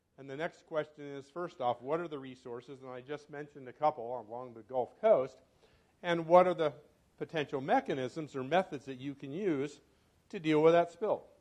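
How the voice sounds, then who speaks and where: A man with a normal speaking voice and a fairly high pitch talks at a moderate pace, his pitch variation ordinary and his loudness swinging widely. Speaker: professor and environmental toxicologist. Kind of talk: club talk. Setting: club meeting with microphone.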